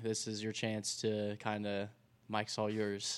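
At a moderate pace, a man speaks. He has an American accent. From Indiana, US Midwest. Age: 20s. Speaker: podcast host. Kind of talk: podcast interview. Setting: studio. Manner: casual, upbeat.

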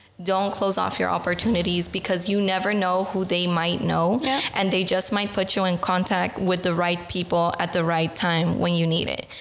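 Monotone, flat intonation with an American accent, at a moderate pace with hardly any pauses and very even loudness, over noticeable background noise. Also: woman, medium pitch for a woman. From US, Los Angeles, California. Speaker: program officer, former mentee. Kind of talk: podcast interview.

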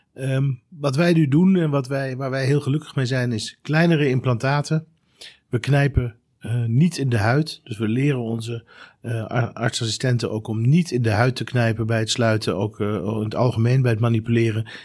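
In an unremarkable speaking voice, a man talks at a medium pitch and a moderate pace with ordinary pitch variation, recorded very cleanly against a silent background. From Netherlands (Rijnsburg, South Holland), moved from Germany at ten. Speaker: trauma surgeon. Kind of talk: expert discussion.

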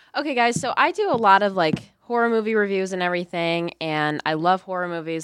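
Here a woman with an American accent speaks in a normal speaking voice, pitched fairly low, with lively intonation. The recording is very clean and the background silent. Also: dry, close sound with no echo. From Lockport, Illinois. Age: 20s. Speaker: college radio co-host, movie reviewer. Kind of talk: casual chat; movie review. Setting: studio.

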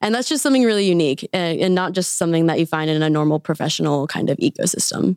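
A woman's fairly low voice with ordinary pitch variation and very even loudness, at a very fast pace with hardly any pauses, in a dry, close sound with no echo on a very clean recording with a silent background. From Wichita, Kansas. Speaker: accelerator operations manager. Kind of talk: interview. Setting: studio.

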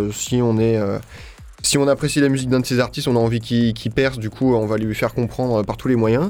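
Intonation stays fairly even as a man speaks at medium pitch. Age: 20s. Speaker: psytrance label founder. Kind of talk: radio interview. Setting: radio studio. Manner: hesitant with fillers.

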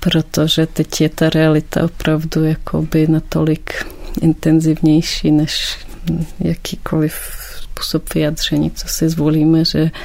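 Noticeable background noise behind a woman's fairly slow talk. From Ukraine, Kyiv. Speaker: painter and teacher. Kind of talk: interview.

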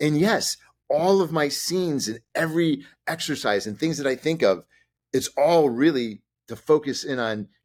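In an American accent, a man speaks at a moderate pace with lively intonation, his pitch fairly high, in a plain, everyday voice. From Chicago, US. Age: 50s. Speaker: actor and director. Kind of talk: interview.

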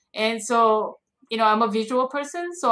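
A woman with an American accent, high-pitched, raised and projected, bright and sharp in tone, at a fairly slow pace. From South Korea, grew up in US. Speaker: children's book author. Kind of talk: interview.

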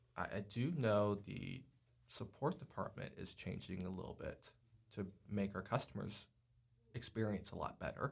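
A man talks at a moderate pace in a fairly low, somewhat breathy voice with ordinary pitch variation. He leaves long, frequent pauses. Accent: American. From New York. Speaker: software support technician. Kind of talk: casual interview.

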